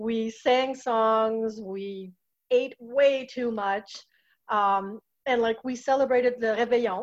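In a Quebec French accent, a woman speaks at a very slow pace with a fairly high pitch and fairly even intonation. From Quebec, Châteauguay near Montreal. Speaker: office manager of a cultural center. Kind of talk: casual chat.

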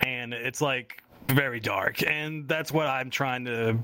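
A man with a plain, everyday voice keeps his intonation fairly even. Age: 20s. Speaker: podcast host and writer. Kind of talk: casual chat.

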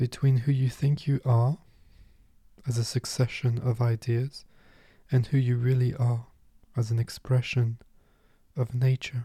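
A man with a medium-pitched, dark, mellow, somewhat breathy voice speaks at a fairly slow pace in a calm, gentle tone and flat monotone, with long, frequent pauses, in a dry, close sound with no echo. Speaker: meditation teacher. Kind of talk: guided meditation. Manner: calm, gentle, unhurried, soothing.

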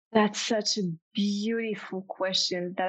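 A woman talks with ordinary pitch variation in a French accent. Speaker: intuitive business coach. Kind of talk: interview conversation. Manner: enthusiastic, animated.

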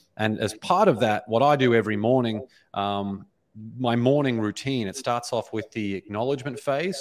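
A man talks at a moderate pace with an Australian accent. His pitch sits fairly low. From Australia, Brisbane. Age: 30s. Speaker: author and speaker. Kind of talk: interview conversation. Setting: video call.

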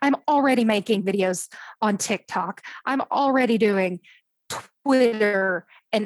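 In an American accent, a woman with a plain, everyday voice speaks at a fairly slow pace with lively intonation, the sound dry and close with no echo. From Oklahoma, US. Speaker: novelist. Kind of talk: casual interview chat.

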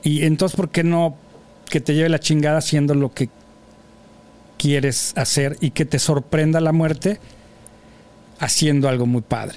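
A man speaks at a fairly slow pace, with long, frequent pauses. His loudness stays very even and his intonation fairly even. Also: fairly high pitch for a man. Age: 50s. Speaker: podcast host. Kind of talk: casual chat. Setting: studio.

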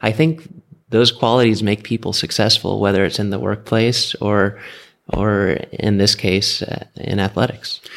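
Speaking at a moderate pace with an American accent, a man uses a fairly low pitch with ordinary pitch variation. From US, California Bay Area and Florida. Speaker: amateur triathlete and tech executive. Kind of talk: interview. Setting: training camp in Arizona.

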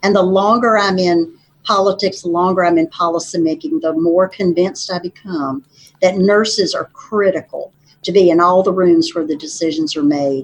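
With an Appalachian Virginia accent, a woman talks at medium pitch and a moderate pace with ordinary pitch variation. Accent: Southern US (Appalachian Virginia). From southwestern Virginia. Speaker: state legislator and nurse practitioner. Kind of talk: interview conversation. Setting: studio.

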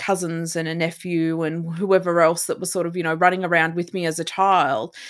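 At a moderate pace, a woman speaks in a fairly low voice with fairly even intonation. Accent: Australian. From remote Australia. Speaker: resilience coach and inspirational speaker. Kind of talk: casual interview. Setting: remote call.

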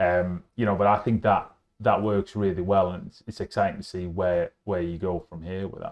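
With a Yorkshire accent, a man speaks at a fairly low pitch with fairly even intonation and big swings in loudness. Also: moderate pace. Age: 40s. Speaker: podcast host, food supplier. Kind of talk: casual chat. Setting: on location at a hotel.

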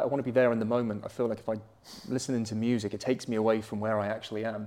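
The tone is dark and mellow with fairly even intonation. The pace is very fast. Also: man. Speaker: jiu-jitsu coach and gym owner. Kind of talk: casual interview chat. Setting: recorded at a jiu-jitsu gym.

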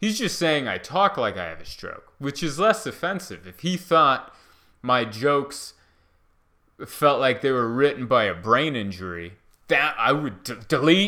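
A man with a fairly high pitch, a bright, sharp tone and vocal fry, at a fairly slow pace with very wide pitch swings and big swings in loudness, on a very clean recording with a silent background. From Hungary, raised in the US from age four. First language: Hungarian. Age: 30s. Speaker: stand-up comedian. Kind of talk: casual solo podcast monologue. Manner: rambling, conversational.

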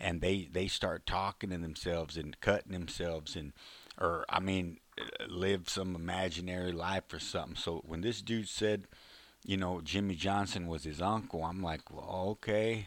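Very deep and low, a man's voice comes with a Texan accent. His intonation is fairly even. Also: moderate pace. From Texas, Fort Worth. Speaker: former prisoner and author. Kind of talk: storytelling monologue. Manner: halting.

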